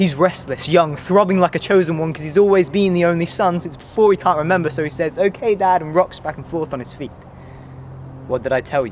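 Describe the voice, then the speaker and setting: Amid noticeable background noise, a man talks at a very fast pace in a high voice with ordinary pitch variation. His loudness swings widely. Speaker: spoken word poet. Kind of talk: spoken word poetry performance.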